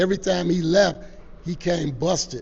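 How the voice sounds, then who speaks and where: A man with an American accent, a high pitch, ordinary pitch variation and a fairly quick pace. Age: 60s. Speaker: youth sports organization founder. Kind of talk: interview.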